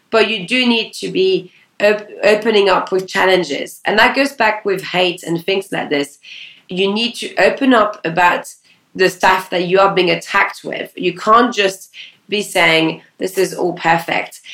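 With a French accent, a woman speaks at a fairly slow pace and a medium pitch, with ordinary pitch variation. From France. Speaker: talent agency founder. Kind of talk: interview.

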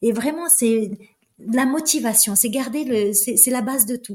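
The speaker is a woman with a high pitch. Her pitch variation is ordinary. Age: 50s. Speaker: flight attendant and trail runner. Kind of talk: interview conversation.

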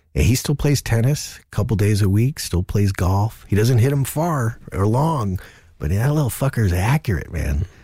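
Speaking with an American accent, a man uses a dark, mellow, somewhat breathy tone with very wide pitch swings. The recording is very clean, with a silent background. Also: medium pitch for a man, moderate pace. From New Jersey, US. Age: 50s. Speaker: comedian. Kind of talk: casual chat. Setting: studio. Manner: animated.

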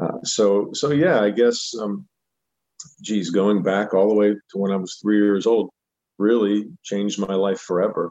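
A man speaks with a dark, mellow tone at a fairly low pitch, with ordinary pitch variation. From Pittsburgh, Pennsylvania. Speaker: country singer. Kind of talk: interview. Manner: halting, many fillers.

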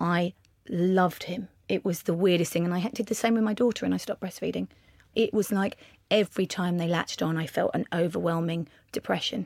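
A woman with an English accent talks at a fairly quick pace and fairly low pitch with ordinary pitch variation, on a very clean recording with a silent background and a dry, close sound with no echo. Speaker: makeup artist and beauty entrepreneur. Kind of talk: casual interview. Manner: louder.

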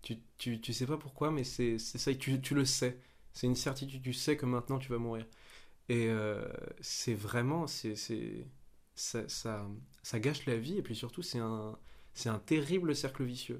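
Fairly slow speech from a man, medium in pitch, with ordinary pitch variation. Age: 20s. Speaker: young actor. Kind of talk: casual chat. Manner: halting.

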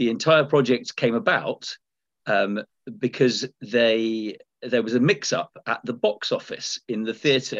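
The sound is dry and close, with no echo. The man talking has an English accent. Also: quiet background. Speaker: comedian and podcast co-host. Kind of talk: casual chat; formal presentation to council. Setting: video call.

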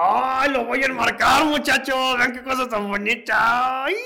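Very slowly, a man projects his voice in a raised, extremely high pitch with ordinary pitch variation. Noticeable background noise sits behind him. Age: 30s. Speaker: stand-up comedian and radio news host. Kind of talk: casual interview chat. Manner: animated.

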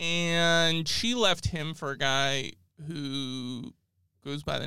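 A man speaks with a General American accent and lively intonation. The recording is very clean, with a silent background. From Southern California, Orange County. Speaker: historian podcast co-host. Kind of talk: casual chat.

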